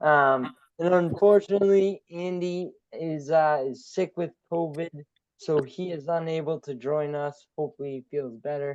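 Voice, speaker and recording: A man speaks in a Boston accent at a fairly high pitch. His pace is fairly slow, and his pitch variation is ordinary. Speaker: webinar host, real estate investor. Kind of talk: webinar hosting.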